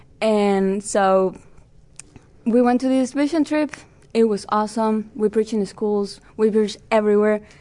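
A woman with a Spanish accent speaks at a fairly high pitch with fairly even intonation and a dark, mellow tone. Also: moderate pace. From Peru. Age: 20s. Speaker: Bible college student. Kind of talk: casual interview.

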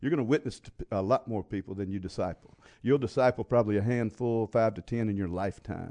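In a Louisiana accent, a man talks very fast in a fairly low, dark, mellow voice. His pitch varies in an ordinary way, and the sound is dry and close with no echo. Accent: US Southern (Louisiana). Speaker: pastor and evangelist. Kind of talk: interview conversation. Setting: studio.

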